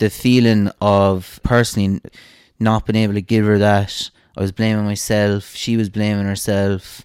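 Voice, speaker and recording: The speech has monotone, flat intonation, in an Irish accent. The recording is very clean, with a silent background. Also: man, moderate pace. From Ireland, Cashel. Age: 30s. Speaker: pharmacist. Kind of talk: casual interview.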